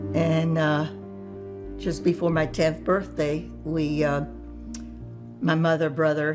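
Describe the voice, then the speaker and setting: Music plays in the background as a woman speaks with ordinary pitch variation. She leaves long, frequent pauses. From France. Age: 80s+. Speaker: Holocaust survivor. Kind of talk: interview answer.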